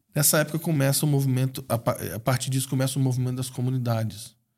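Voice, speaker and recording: A somewhat breathy, medium-pitched male voice on a very clean recording with a silent background. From Brazil, raised in Espírito Santo, Minas and Rio de Janeiro. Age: 40s. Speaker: missionary. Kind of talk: interview.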